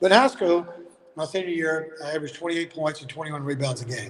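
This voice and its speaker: Speaking very fast with a Southern US accent, a man uses a fairly high voice and fairly even intonation. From Alabama. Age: 60s. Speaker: basketball coach. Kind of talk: casual interview.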